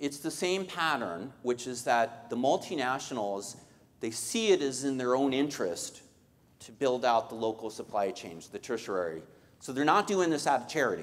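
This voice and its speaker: A man at medium pitch, with lively intonation and big swings in loudness. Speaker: economist. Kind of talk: Q&A session. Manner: fast.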